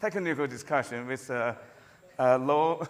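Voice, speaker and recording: With a non-native accent, a man speaks at a moderate pace with ordinary pitch variation. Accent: noticeable non-native. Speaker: computer science professor. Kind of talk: conference lecture. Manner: halting, with frequent fillers and repetitions.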